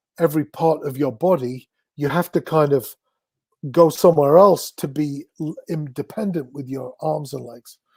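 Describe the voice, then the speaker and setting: A man with a fairly high, somewhat breathy voice speaks at a moderate pace with ordinary pitch variation and big swings in loudness, the sound dry and close with no echo. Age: 60s. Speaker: drummer and music industry figure. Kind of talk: interview.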